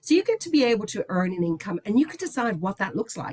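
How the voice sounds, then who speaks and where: With a somewhat breathy, enthusiastic tone, a woman swings very widely in pitch at a fairly quick pace, recorded with a dry, close sound and no echo. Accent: Irish. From Ireland, Dublin. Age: 60s. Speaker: company executive. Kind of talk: presentation.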